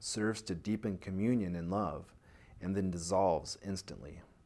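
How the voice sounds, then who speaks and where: Very deep and low, this man's voice has a dark, mellow tone, ordinary pitch variation and a moderate pace. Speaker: hypnosis and meditation guide. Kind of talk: self-help talk to listener.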